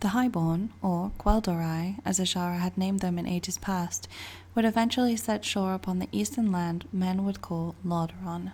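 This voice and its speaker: A woman whispers with a British accent, somewhat breathy, at a moderate pace. The recording is very clean with a silent background. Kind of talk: book reading. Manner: whispered.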